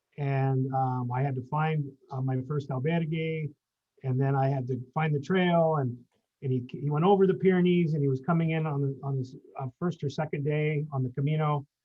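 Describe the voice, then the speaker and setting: A man with a plain, everyday voice speaks at a moderate pace, with a fairly high pitch and fairly even intonation. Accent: American. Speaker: pilgrim. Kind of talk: casual chat.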